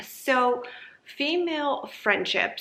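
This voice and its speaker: Over noticeable background noise, a speaker with a non-native accent talks with ordinary pitch variation. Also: woman. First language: not English. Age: 30s. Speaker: YouTuber. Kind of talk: casual monologue.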